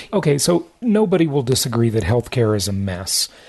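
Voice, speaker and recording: In a somewhat breathy voice, a man swings very widely in pitch against a quiet background. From Europe. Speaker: podcast host. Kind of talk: interview.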